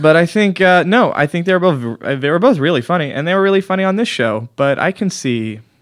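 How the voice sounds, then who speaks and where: Very wide pitch swings from a man talking at a very fast pace. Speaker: comedy podcast host. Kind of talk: casual comedic chat. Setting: studio. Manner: mumbling.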